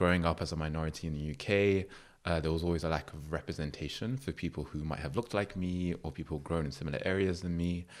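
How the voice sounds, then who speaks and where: In a London accent, a man with a very deep, low pitch speaks at a very fast pace. The recording is very clean, with a silent background. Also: ordinary pitch variation. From London, England. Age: 30s. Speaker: creative platform founder. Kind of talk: podcast interview.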